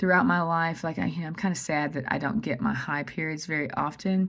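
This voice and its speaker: In a very clean recording with a silent background, a woman's voice comes across somewhat breathy. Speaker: vlogger. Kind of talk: casual monologue. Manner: fast; animated.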